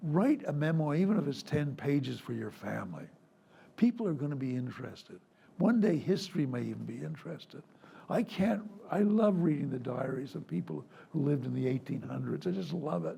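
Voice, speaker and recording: Audible room echo surrounds this man's voice. He moves at a fairly quick pace. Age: 80s+. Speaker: retired foreign correspondent. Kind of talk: public conversation. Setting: stage with audience.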